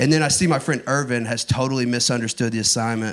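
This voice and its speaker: With an East Texas accent, a man speaks at a medium pitch. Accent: Southern US, East Texas. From Northeast Texas. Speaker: stand-up comedian. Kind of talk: stand-up comedy set. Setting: comedy club stage.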